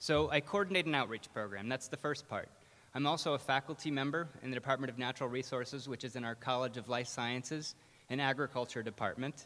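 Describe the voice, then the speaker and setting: A man speaks at a very fast pace in a bright, sharp tone, with medium pitch and ordinary pitch variation. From Maine, US. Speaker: professor. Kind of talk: keynote speech. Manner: casual with many fillers.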